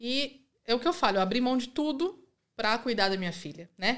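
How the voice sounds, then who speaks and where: In a normal speaking voice with lively intonation, the speaker moves at a fairly quick pace in a very clean recording with a silent background. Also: woman. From interior of São Paulo state, Brazil (Rio Claro). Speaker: immigrant mother. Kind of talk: casual chat.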